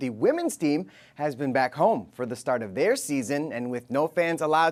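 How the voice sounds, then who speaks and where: Fairly high for a man, this normal speaking voice moves at a fairly quick pace with lively intonation, recorded very cleanly against a silent background. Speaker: sports anchor and reporter. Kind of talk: TV feature package narration.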